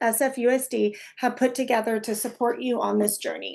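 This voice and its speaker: A moderate pace over a quiet background. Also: woman. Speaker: family support workshop presenter. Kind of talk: workshop presentation.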